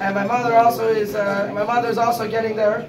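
A man with an American accent at an extremely high pitch, fairly quick pace and noticeable background noise. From California. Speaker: speaker sharing personal story; speaker. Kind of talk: testimony. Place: home room. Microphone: phone near.

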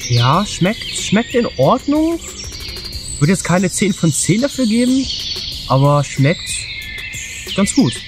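With music in the background, a man at a high pitch talks at a very slow pace with long, frequent pauses and very wide pitch swings, the sound dry with no echo. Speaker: outdoor food reviewer. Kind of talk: casual vlog chat.

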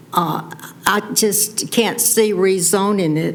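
Over noticeable background noise, a woman with a North Carolina accent talks at a medium pitch. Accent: Southern US (North Carolina). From Rockingham County, North Carolina. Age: 80s+. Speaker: resident giving public comment. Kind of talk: public comment at planning board meeting. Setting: county planning board meeting.

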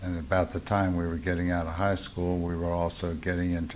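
At a moderate pace, a man with a Baltimore accent talks in a very deep, low pitch over light background noise. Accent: Mid-Atlantic US (Baltimore). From Baltimore, Maryland. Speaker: war veteran. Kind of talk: oral history interview. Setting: veterans reunion. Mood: reflective, calm. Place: home room.

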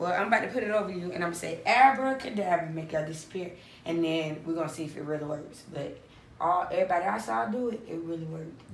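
Lively intonation runs at a very fast pace, with audible room echo and light background noise. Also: woman, fairly low pitch for a woman. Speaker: family YouTuber. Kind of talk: prank video. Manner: animated. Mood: playful, teasing. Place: home room. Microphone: phone near.

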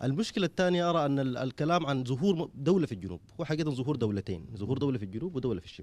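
A man races along at a very fast pace with hardly any pauses, his pitch swinging very widely. Vocal fry runs through his voice, and the sound is dry with no echo. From Sudan, western region (Abyei); Sudan. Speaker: political party representative; panelist. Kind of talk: panel discussion. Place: hall. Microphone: handheld.

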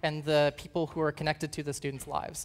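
A woman is speaking. Her pace is very fast. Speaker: conference presenter. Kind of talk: conference talk. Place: stage.

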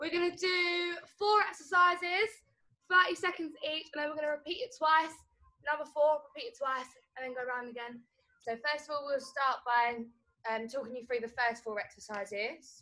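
A woman uses a raised, projected voice with a bright, sharp tone at a moderate pace. Long, frequent pauses break her speech against a quiet background. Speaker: fitness instructor. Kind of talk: tutorial. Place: open country. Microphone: camera far.

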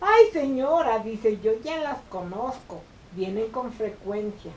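Over light background noise, a woman speaks with very wide pitch swings. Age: 80s+. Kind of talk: interview answer. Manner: storytelling. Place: office. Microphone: camera far.

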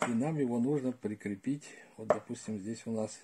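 A man talks with a dark, mellow tone and ordinary pitch variation. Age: old. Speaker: retired gardener, video blogger; video blogger. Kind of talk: tutorial. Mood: calm, practical. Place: home room. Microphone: phone near.

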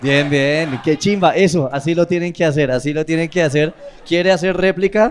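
A man at a moderate pace and fairly high pitch, with ordinary pitch variation and light background noise. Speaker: roast master of ceremonies. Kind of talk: host banter, introductions. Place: stage. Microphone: handheld.

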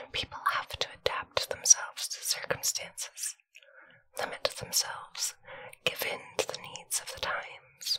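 A fairly slow whisper from a woman. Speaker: storyteller. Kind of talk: story reading aloud. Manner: soft ASMR bedtime reading voice.

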